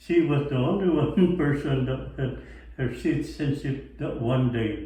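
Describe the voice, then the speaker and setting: The pitch varies in an ordinary way, with audible room echo around the voice. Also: man, fairly high pitch for a man, fairly slow pace. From Philippines. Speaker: military veteran. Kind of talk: interview.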